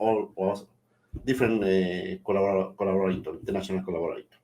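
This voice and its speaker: A man speaks very fast in a Spanish accent. His tone is dark and mellow. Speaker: webinar host, microbiology researcher. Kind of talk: formal opening remarks for a webinar. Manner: halting, with many repetitions and fillers.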